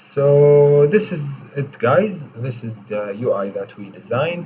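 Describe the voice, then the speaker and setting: A man with a non-native accent speaks in a medium pitch. His voice is somewhat breathy, with lively intonation. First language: not English. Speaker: coding tutorial creator. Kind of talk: tutorial. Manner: slow, deliberate; hesitant, many fillers.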